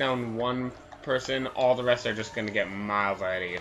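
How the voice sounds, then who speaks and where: Music plays in the background while a man speaks quietly at a moderate pace and medium pitch. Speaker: gaming video creator. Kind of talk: gameplay commentary.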